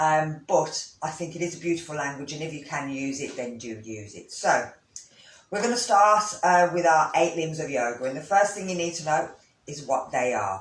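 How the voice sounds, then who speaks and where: With a Brummie accent, a man speaks at a moderate pace and fairly high pitch, his intonation lively and his loudness swinging widely. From Birmingham, English Midlands. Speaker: yoga teacher. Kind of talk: instructional talk. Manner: casual, hesitant with fillers.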